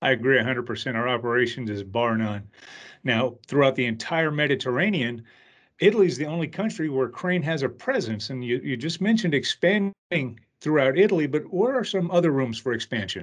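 A man's normal speaking voice at a medium pitch, with lively intonation and a fairly quick pace. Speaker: podcast host. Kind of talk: casual interview.

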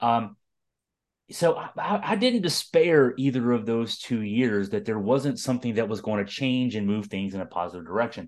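An ordinary speaking voice from a man, medium in pitch, with lively intonation, a moderate pace and a quiet background. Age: 50s. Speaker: sports podcast host. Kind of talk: casual sports talk. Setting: podcast recording, also on video.

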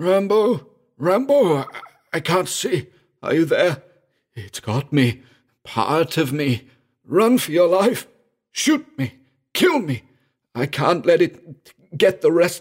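In a put-on character voice, a man speaks slowly at a fairly high pitch, with big pitch swings, a slightly husky edge and few pauses. The recording is very clean, with a silent background.

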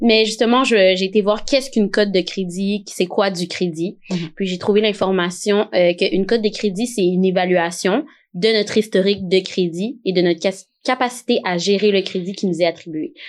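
Speaking at a moderate pace, a woman has a medium pitch and ordinary pitch variation. It is a normal speaking voice against a quiet background. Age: 20s. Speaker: podcast host. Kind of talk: casual chat.

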